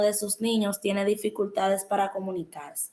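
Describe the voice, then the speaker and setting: The speaker has a normal speaking voice and moves at a moderate pace. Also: woman. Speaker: education student. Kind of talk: educational podcast monologue.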